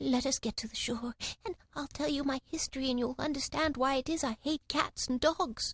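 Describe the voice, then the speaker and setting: In a put-on character voice, a woman speaks at a moderate pace with a high pitch and a shaky sound. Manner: passionate, upset.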